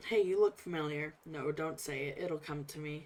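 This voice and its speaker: A woman's put-on character voice, raspy and very deep and low, at a moderate pace with big swings in loudness. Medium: game stream. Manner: wry, folksy, talkative.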